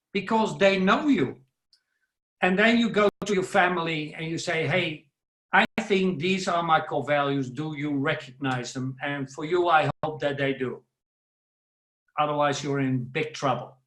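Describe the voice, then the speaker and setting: A man with a Dutch accent, fairly high-pitched, ordinary pitch variation and a fairly slow pace. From Netherlands. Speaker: professional speaker. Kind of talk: webinar talk. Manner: loud.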